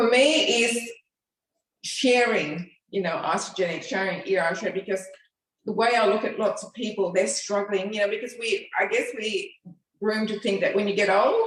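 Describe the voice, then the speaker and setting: A woman's plain, everyday voice, fairly high in pitch with ordinary pitch variation, at a moderate pace. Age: 60s. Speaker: fitness program participant. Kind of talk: interview.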